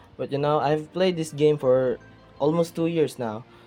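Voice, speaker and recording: The speaker has a non-native accent, with music playing in the background. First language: not English. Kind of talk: casual gaming talk to camera.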